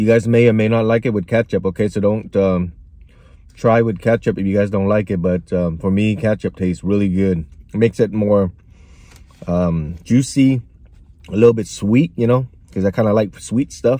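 A man speaks with a dark, mellow tone and fairly even intonation, leaving long, frequent pauses. The background is quiet. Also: dry sound with no echo. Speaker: food reviewer. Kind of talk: casual vlog chat. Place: car. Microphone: phone near.

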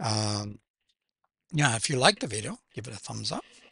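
A man's bright, sharp voice with vocal fry, ordinary pitch variation and a moderate pace, dry with no echo over a quiet background. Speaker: music reaction channel host. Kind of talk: casual reaction commentary. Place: home room. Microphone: headset.

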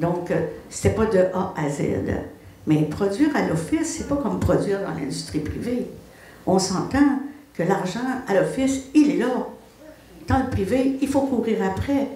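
The speaker moves at a fairly slow pace with very wide pitch swings and long, frequent pauses. Audible room echo hangs on the voice. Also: woman. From Quebec. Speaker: film editor and producer; panelist. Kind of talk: panel discussion, personal career story. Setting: live event with audience. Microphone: too far from the mic.

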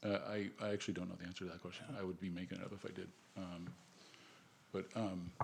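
The speech runs very fast with fairly even intonation, broken by long, frequent pauses. Room echo is audible. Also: man, very deep, low pitch for a man. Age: 60s. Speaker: commission applicant, real estate agent. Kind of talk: public interview at council meeting. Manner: halting, many fillers.

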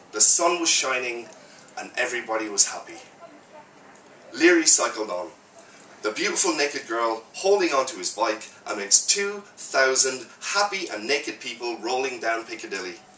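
Amid light background noise and audible room echo, a man talks at a moderate pace with big swings in loudness. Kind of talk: live prose reading. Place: cafe. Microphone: camera far.

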